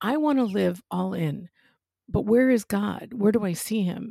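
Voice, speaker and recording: A woman's dark, mellow voice at a fairly high pitch, with lively intonation and a fairly slow pace, on a very clean recording with a silent background. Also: dry, close sound with no echo. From New York, Italian-American. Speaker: spiritual director and parish minister. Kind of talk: casual faith conversation.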